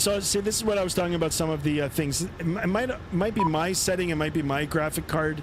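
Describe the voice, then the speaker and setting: With a Canadian accent, a high-pitched man talks at a very fast pace with ordinary pitch variation, amid audible room echo and noticeable background noise. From Canada, southern Ontario. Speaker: flight sim streamer, pilot. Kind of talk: live stream commentary. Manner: casual, hesitant with many fillers.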